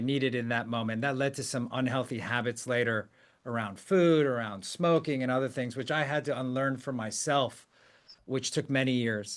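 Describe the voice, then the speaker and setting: A man talks at a medium pitch and a moderate pace. His pitch varies in an ordinary way over a quiet background. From US, Korean immigrant family. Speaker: podcast host, CEO. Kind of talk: interview podcast.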